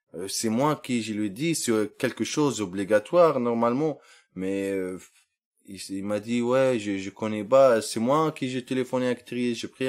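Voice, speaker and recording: In a very clean recording with a silent background, a man of medium pitch speaks at a fairly slow pace. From Libya. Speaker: refugee job seeker. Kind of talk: interview. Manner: halting.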